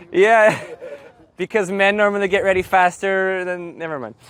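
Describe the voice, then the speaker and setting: This is a man speaking. His voice is loud. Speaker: Spanish teacher. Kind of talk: lecture. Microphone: no microphone.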